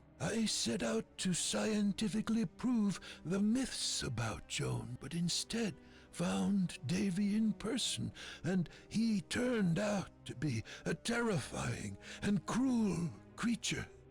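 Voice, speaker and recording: Clear music plays behind a put-on character voice pitched in the middle range and delivered at a fairly slow pace. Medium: video game.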